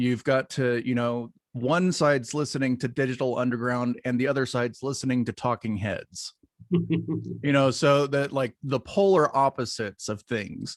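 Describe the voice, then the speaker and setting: A man with an American accent and a plain, everyday voice speaks at a moderate pace and medium pitch with ordinary pitch variation. He leaves hardly any pauses, and the sound is dry and close with no echo. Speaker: podcast host. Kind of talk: podcast interview, casual.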